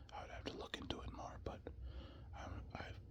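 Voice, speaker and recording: The voice is whispering. Background noise is noticeable. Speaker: construction worker. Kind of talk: whispered casual ramble. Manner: whispered; rambling, casual.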